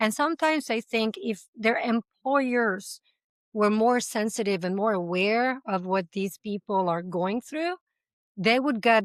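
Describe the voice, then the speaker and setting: In a quiet background with a dry, close sound and no echo, a woman with an Italian accent talks at a fairly slow pace, her fairly high voice carrying lively intonation. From Italy. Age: 40s. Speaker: language school founder. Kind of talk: interview conversation.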